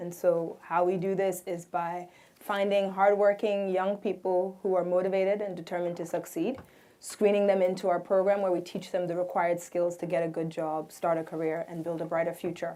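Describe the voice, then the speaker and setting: At a fairly quick pace, a woman speaks with a medium pitch in a flat, monotone way. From Nigeria. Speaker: nonprofit founder. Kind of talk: panel introduction.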